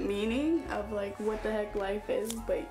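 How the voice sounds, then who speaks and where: Clear music in the background behind a woman speaking at a fairly slow pace. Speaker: vlogger. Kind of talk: casual vlog chat. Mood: relaxed, giggly, rambling. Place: home room. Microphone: camera far.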